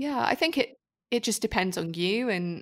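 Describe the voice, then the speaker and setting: A woman with a British accent at a fairly quick pace, on a very clean recording with a silent background. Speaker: food photographer and teacher. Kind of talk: casual interview chat.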